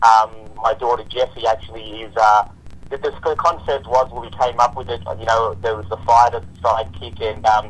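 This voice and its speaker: Somewhat breathy with an Australian accent, this voice moves at a moderate pace with ordinary pitch variation and big swings in loudness. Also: man, medium pitch for a man. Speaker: filmmaker and father. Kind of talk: casual chat. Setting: live online show.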